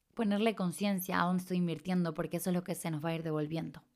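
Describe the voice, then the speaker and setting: A medium-pitched woman's voice in a very clean recording with a silent background. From Chile. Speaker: podcast host and life coach. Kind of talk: reflective solo podcast talk. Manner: warm and enthusiastic.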